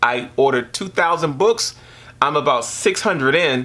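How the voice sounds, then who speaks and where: A man speaks in a normal speaking voice at a moderate pace. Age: 60s. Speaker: visual artist. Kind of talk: casual interview.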